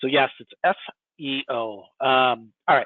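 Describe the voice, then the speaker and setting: A man speaks very slowly in a Midwestern US accent. His pitch is medium and his intonation monotone and flat. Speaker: software product presenter. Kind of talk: webinar product demo.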